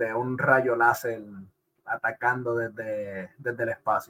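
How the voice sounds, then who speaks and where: A man speaks with a bright, sharp tone. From Puerto Rico. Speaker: podcast host. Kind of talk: casual chat. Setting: live stream.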